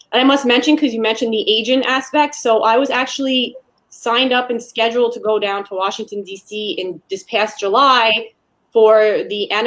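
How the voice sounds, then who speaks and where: A woman's voice, fairly high in pitch, with ordinary pitch variation at a moderate pace, an ordinary speaking voice. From Canada. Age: young. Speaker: personal trainer and aspiring sports agent. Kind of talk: casual interview chat.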